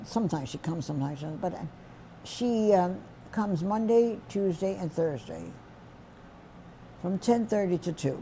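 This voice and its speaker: With a New York accent, a woman talks at a moderate pace in a fairly low, somewhat breathy voice of dark, mellow tone, her intonation lively and her pauses long and frequent. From New York City, the Bronx. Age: 80s+. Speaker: centenarian interviewee. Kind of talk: life story interview.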